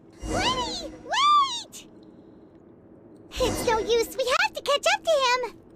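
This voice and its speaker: A woman's put-on character voice, extremely high-pitched, at a very slow pace, with lively intonation and long, frequent pauses. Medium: video game. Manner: playful, sly.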